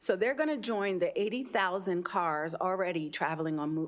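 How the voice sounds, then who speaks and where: A woman speaks in a plain, everyday voice, fairly low in pitch, with an American accent. The background is quiet. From New York City. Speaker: citizen testifying at legislative hearing. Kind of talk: public testimony. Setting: legislative committee hearing.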